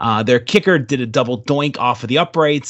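With an American accent, a man talks at a moderate pace in a plain, everyday voice with ordinary pitch variation. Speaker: sports podcaster and fan. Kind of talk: casual sports chat interview.

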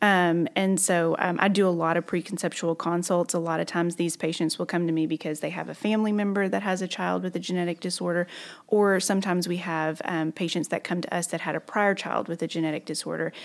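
Someone with a Southern US accent talks at a very fast pace with hardly any pauses, in a monotone, flat intonation. The recording is very clean, with a silent background. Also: woman, fairly low pitch for a woman. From Arkansas, southern (Magnolia). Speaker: physician. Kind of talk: interview.

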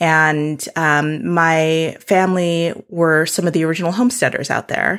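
A woman with an American accent and an unremarkable speaking voice talks at a fairly slow pace, her pitch fairly low. Her intonation stays fairly even, her loudness very even, and she hardly pauses at all. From South Dakota, US Midwest. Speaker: homesteader and land steward. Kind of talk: casual interview conversation.

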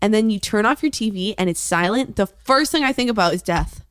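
Woman at a medium pitch, fairly quick and animated, with lively intonation, in a very clean recording with a silent background. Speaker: podcast co-host, daughter of the other host. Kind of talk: casual chat. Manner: loud.

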